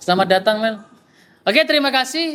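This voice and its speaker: Using a raised, projected voice, a man speaks at an extremely high pitch with lively intonation. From East Java (Probolinggo, Pandalungan area). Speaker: speaker at discussion forum, psychology graduate. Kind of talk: casual discussion with audience.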